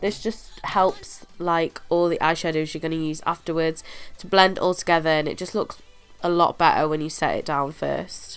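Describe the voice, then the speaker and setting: A woman with a British accent, fairly low pitch and monotone, flat intonation, over music in the background. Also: moderate pace. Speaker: beauty YouTuber. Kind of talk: makeup tutorial voiceover.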